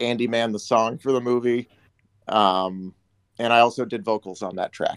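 A man speaks in a plain, everyday voice with an American accent, at a medium pitch and moderate pace. His intonation is fairly even, and the sound is dry and close with no echo. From US Midwest, Detroit. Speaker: actor and filmmaker. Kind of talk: casual interview chat.

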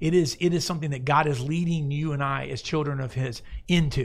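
Fairly quick and somewhat breathy, a man speaks at a fairly high pitch with ordinary pitch variation. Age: 40s. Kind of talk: Bible discussion chat. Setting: studio. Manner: animated.

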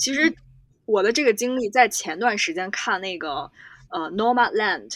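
On a very clean recording with a silent background, a woman talks at a fairly slow pace with very wide pitch swings. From China, Xi'an. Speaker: ski instructor. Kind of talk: casual chat.

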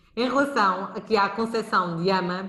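A woman at a moderate pace with audible room echo. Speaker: podcast host, early childhood educator. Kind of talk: live podcast interview.

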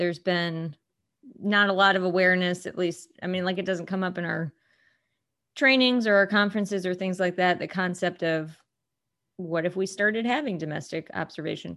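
A woman speaks at a medium pitch and a moderate pace, with an American accent. Hers is an ordinary speaking voice. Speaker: co-host, county clerk. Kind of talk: podcast interview questions.

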